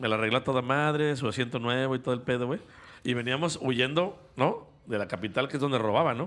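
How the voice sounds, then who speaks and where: Ordinary pitch variation comes at a fairly quick pace. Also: man, medium pitch for a man. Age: 40s. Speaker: podcast co-host. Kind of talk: casual chat. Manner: animated.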